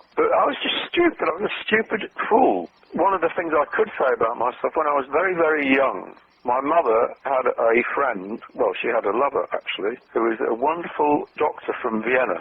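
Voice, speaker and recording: A man with a British accent at a moderate pace, with noticeable background noise. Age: 70s. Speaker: copywriter. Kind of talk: interview.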